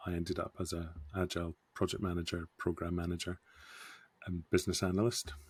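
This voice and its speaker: A man speaks with a Scottish accent in a very deep, low voice and monotone, flat intonation. The recording is very clean with a silent background, and the sound is dry and close with no echo. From Scotland, Scottish Borders. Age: 50s. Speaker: scrum master. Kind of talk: podcast interview.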